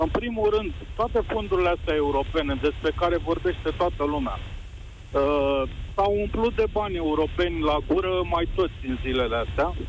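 A man speaks at a moderate speed. The volume of his voice stays very even. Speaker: caller, business owner. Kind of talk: radio phone-in. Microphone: too quiet.

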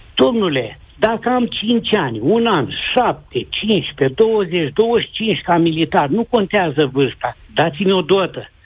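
Delivery comes at a very slow pace with lively intonation. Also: man. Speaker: retired army NCO. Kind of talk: call-in testimony.

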